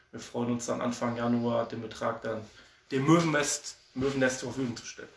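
Noticeable background noise sits behind this man's voice. He speaks at a medium pitch with ordinary pitch variation. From Oberhausen, Ruhr area, Germany. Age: 30s. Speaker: amateur football assistant coach. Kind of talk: casual interview. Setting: remote call.

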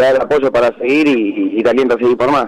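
Here a man uses an ordinary speaking voice. It sits at medium pitch and moves at a fairly quick pace. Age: 20s. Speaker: racing driver and machine mechanic. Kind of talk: radio interview.

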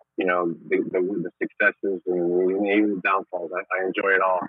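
A man's low-pitched voice with a slightly husky edge and little pitch movement, at a moderate pace, in a dry, close sound with no echo

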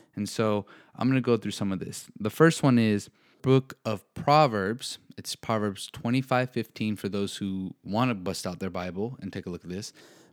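In a very clean recording with a silent background and a dry, close sound with no echo, a man speaks in an ordinary speaking voice at a fairly low pitch and a moderate pace. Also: ordinary pitch variation. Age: 20s. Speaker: faith and self-growth podcast host. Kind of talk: solo podcast monologue.

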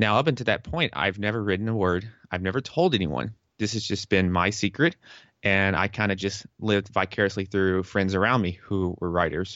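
In a normal speaking voice, a man with an American accent talks at a fairly quick pace, his fairly low pitch showing ordinary variation. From US South, Tennessee. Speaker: fitness and health coach. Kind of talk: casual interview.

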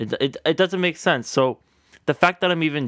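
His bright, sharp tone comes through a dry, close sound with no echo on a very clean recording with a silent background. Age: 20s. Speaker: podcast host, college student. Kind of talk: casual solo podcast monologue. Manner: casual, earnest, hesitant with filler words.

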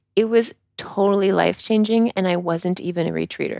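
Here a woman speaks at a moderate pace. Her medium-pitched voice carries a slight Canadian accent. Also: dry, close sound with no echo. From Canada. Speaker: podcast co-host, yoga retreat leader. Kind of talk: casual podcast chat. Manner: pauses, searches for words.

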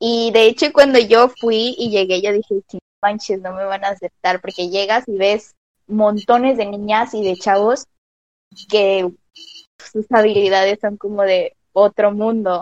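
This woman has a plain, everyday voice. She speaks at a fairly slow pace with fairly even intonation. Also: medium pitch for a woman, dry, close sound with no echo. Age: 20s. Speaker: dance student. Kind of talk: casual interview chat. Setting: online voice call.

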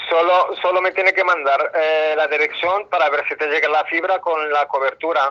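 Speech with hardly any pauses over noticeable background noise. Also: moderate pace. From Morocco. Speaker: telemarketer. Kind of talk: sales call. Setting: phone call.

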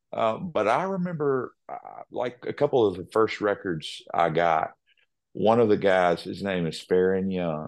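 Against a quiet background, a man with a very deep, low voice and a Southern US accent speaks at a fairly slow pace. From Nashville, Tennessee. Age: 30s. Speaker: country singer-songwriter. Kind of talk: casual interview chat.

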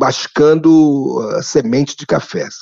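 Speaking very slowly with lively intonation, a man with a fairly high pitch comes through a dry, close recording with no echo. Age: 60s. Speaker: anthropologist, professor. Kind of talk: interview.

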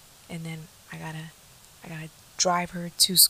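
A woman talks at a fairly low pitch. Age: 20s. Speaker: podcast host. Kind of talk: casual solo monologue.

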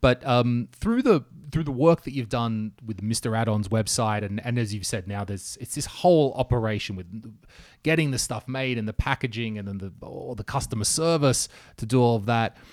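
In a very clean recording with a silent background, a man talks at a moderate pace and medium pitch in a normal speaking voice. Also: ordinary pitch variation. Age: 40s. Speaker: podcast host. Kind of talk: casual interview.

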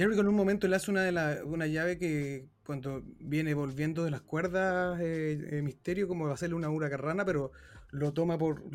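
A man with a Chilean accent, fairly high pitch, fairly even intonation and a fairly quick pace. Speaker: wrestling podcast host. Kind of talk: casual chat.

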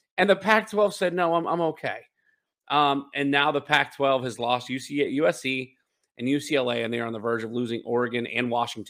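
An ordinary speaking voice. It moves at a moderate pace with lively intonation. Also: man, medium pitch for a man. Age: 30s. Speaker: sports podcast host. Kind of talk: casual chat.

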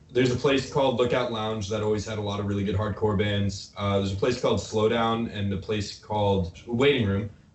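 A man with an American accent speaks at a fairly quick pace in a fairly low pitch, with fairly even intonation and hardly any pauses. Noticeable background noise runs under the recording. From Nebraska. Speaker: rock band member. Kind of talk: casual chat. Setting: video call.

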